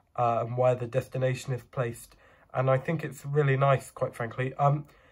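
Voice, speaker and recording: A man talks at a medium pitch, somewhat breathy and in a monotone, flat intonation. The background is quiet. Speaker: model bus reviewer. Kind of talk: product review. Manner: hesitant, many fillers.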